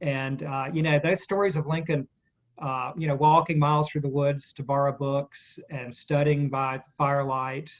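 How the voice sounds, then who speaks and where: In a Southern US accent, a man talks at a moderate pace and fairly high pitch with monotone, flat intonation. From US South, Spartanburg, South Carolina. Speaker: author. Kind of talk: interview. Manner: casual, hesitant with fillers.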